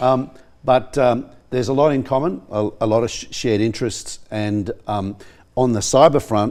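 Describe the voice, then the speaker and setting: A man with an Australian accent speaks at a moderate pace. His pitch is medium, with ordinary variation. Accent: thick Australian. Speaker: professor. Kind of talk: studio interview. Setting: TV studio. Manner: halting, many fillers.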